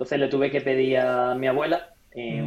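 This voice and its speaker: With normal rises and falls in pitch and an average speed, this is a plain, everyday voice. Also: man. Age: 20s. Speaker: entrepreneur and former pro triathlete. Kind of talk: interview.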